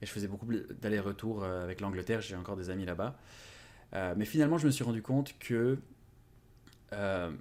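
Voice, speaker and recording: Speaking at a fairly quick pace with long, frequent pauses, a man uses a fairly low pitch and ordinary pitch variation. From France. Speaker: YouTuber on language learning. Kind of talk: interview. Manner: hesitant, many fillers.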